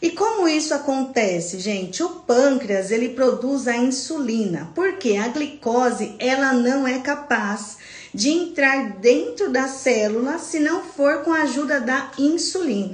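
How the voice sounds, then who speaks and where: A woman with a high pitch speaks at a fairly slow pace in an animated tone with very wide pitch swings and hardly any pauses, over noticeable background noise and audible room echo. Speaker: nurse teaching a health class. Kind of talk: live online lecture. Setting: livestream.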